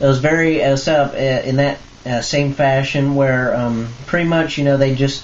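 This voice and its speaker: Moderate pace over noticeable background noise. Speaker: fan video blogger. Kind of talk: casual vlog recap. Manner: hesitant, many fillers.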